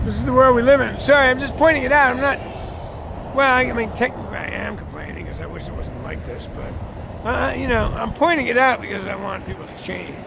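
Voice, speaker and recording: A man's fairly quick speech with big swings in loudness, audible room echo and noticeable background noise. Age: 60s. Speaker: railfan vlogger. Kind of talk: casual monologue. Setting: outdoors at a rail crossing. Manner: rambling, conversational.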